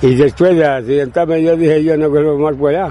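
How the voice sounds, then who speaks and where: There is noticeable noise in the background. Against it, a man talks at a moderate pace. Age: 80s+. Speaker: retired miner and farmer. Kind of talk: interview. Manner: halting.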